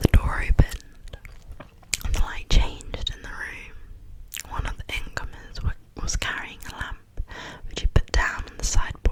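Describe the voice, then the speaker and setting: Whispering in a gentle tone, broken by long, frequent pauses, over noticeable background noise. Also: moderate pace. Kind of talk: read story. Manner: whispered, gentle.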